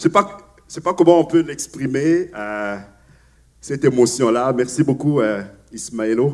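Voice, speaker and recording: Pausing long and often, a man of medium pitch talks with lively intonation and big swings in loudness. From Africa. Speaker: pastor. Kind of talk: sermon. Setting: church. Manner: hesitant, many fillers and repetitions.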